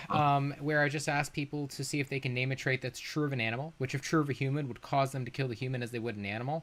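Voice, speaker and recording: Words come from the man at a very rapid clip. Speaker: live-stream debate host. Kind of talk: live-stream debate. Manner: fast.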